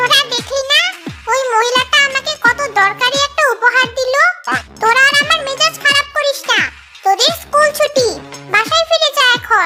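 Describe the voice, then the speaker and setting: Over clear music in the background, a woman does a squeaky, cartoonish character voice at an extremely high pitch and a moderate pace. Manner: bossy, scolding.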